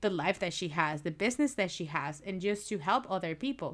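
A woman speaks with a Spanish accent at medium pitch. The recording is very clean, with a silent background. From Venezuela. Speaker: podcast host. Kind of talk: casual interview; podcast intro and outro.

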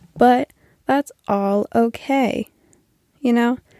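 Very slowly, a woman speaks in a fairly high voice with a dark, mellow tone, the sound dry and close with no echo. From New Brunswick, Canada. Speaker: podcast host. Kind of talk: casual monologue. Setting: home basement couch. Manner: rambling with many fillers.

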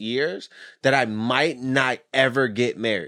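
A man speaks fairly slowly at a medium pitch with ordinary pitch variation, a plain, everyday voice in a very clean recording with a silent background. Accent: American. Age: 30s. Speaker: podcast host, former adult performer. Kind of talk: casual chat.

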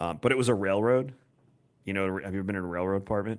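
A man's very deep, low voice holds fairly even intonation on a very clean recording with a silent background. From New York, Long Island. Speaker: podcast host. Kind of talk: casual chat.

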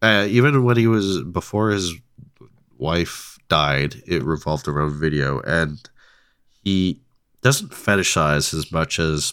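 The speaker talks very slowly with lively intonation, in a Canadian accent. The recording is very clean, with a silent background. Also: man, very deep, low pitch for a man. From Canada, Ontario. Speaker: film podcast host. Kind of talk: casual chat.

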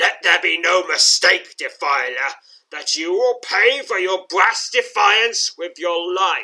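In a put-on character voice, a man growls at a high pitch and a fairly slow pace. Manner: snarling; menacing.

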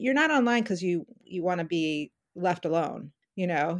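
In a plain, everyday voice, a woman speaks with a medium pitch and lively intonation. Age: 50s. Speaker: novelist. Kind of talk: interview.

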